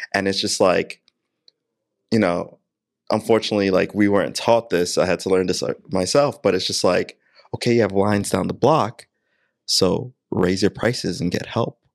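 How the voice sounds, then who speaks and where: A man with a New York accent speaks at a moderate pace, his fairly low pitch showing ordinary variation, with long, frequent pauses. The recording is very clean, with a silent background. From Queens, New York. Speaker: digital marketing and video production company owner. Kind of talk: casual chat. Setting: podcast room.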